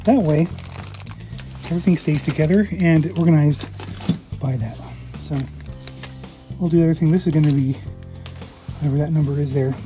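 Clear music plays behind a woman with a very deep, low pitch. She speaks at a fairly quick pace. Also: ordinary pitch variation. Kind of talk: casual tutorial narration while working. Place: workshop. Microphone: phone near.

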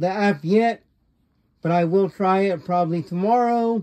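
Against a quiet background, a man talks at a fairly slow pace in a high pitch with fairly even intonation. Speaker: gaming YouTuber. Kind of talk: casual video review and product demo. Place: home room. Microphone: phone near.

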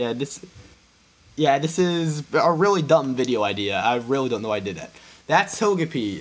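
Speaking at a moderate pace, a man with a fairly high voice makes very wide pitch swings. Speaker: YouTuber. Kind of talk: casual solo video commentary. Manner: hesitant with many fillers.

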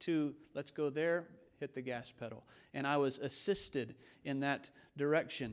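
His pace is moderate. A man talks with fairly even intonation. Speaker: preacher. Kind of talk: sermon. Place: church. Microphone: podium.

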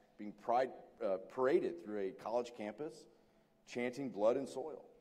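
Dark and mellow in tone, a man's voice is heard. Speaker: former program director moderating the interview. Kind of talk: onstage interview and Q&A moderation. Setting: stage with audience. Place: hall.

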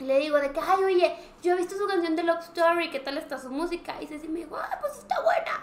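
In a Mexican accent, a woman speaks at an extremely high pitch and a fairly quick pace, with ordinary pitch variation, big swings in loudness and audible room echo. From Mexico. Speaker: podcast co-host. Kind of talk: casual chat. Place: studio.

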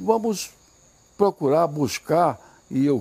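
A man's dark, mellow tone at a very slow pace, with very wide pitch swings. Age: 80s+. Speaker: politician. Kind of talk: campaign video statement to supporters. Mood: grateful, emphatic. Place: garden. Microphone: lapel.

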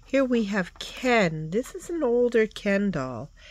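A woman's voice comes through dry, with no echo, over light background noise. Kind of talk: casual show-and-tell vlog. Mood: enthusiastic, admiring. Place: home room. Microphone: phone near.

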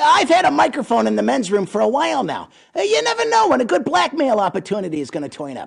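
Pitched fairly high, a put-on character voice rattles along at a very fast pace. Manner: wisecracking, hustling.

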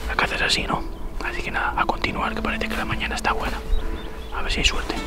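The speech moves at a very fast pace. Music can be heard in the background. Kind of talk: casual vlog chat. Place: open country.

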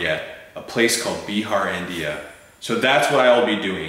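Audible room echo follows a man speaking at a moderate pace. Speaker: fundraiser host. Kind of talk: scripted humorous appeal. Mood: playful, mock-formal. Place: home room.

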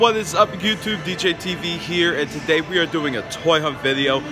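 Over noticeable background noise, a man speaks at a moderate pace. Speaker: toy collector vlogger. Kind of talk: casual vlog chat. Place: street. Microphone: phone near.

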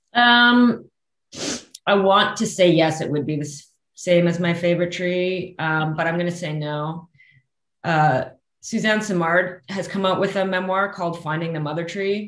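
A woman with a Canadian accent talks at a fairly slow pace in a fairly low pitch, with ordinary pitch variation. Room echo is audible. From interior of British Columbia, Canada. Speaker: forest scientist; guest. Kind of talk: casual interview chat. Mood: warm, enthusiastic. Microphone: video call.

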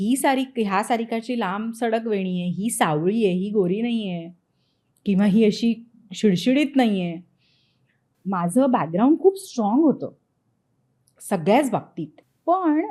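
Her tone dark and mellow, a woman speaks at a fairly high pitch with lively intonation. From India, Nagpur (Vidarbha, Maharashtra). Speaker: TV actress. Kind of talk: interview, personal anecdote.

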